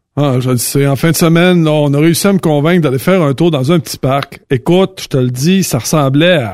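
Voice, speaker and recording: With a Quebec accent, a man with a fairly high pitch speaks at a fairly quick pace, with ordinary pitch variation and hardly any pauses. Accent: Québécois French. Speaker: trucking industry commentator. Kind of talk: casual chat.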